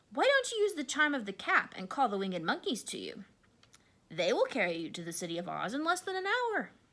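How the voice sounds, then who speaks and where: A woman uses a put-on character voice that is squeaky and high-pitched. She talks at a fairly quick pace. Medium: read story.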